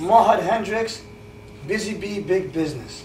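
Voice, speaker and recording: A man with lively intonation at a moderate pace, audible room echo and light background noise. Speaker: game show host. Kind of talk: game show hosting. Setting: studio. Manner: animated. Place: home room.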